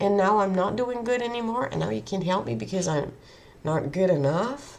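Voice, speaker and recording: Her pitch is medium for a woman and swings very widely as she speaks at a moderate pace. Room echo can be heard. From Netherlands. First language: Dutch. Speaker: vlogger. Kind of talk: personal monologue. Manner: halting.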